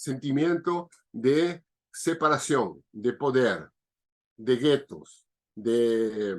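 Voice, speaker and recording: This man's pitch sits in the medium range. His intonation is lively. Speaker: biodanza facilitator. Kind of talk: interview answer.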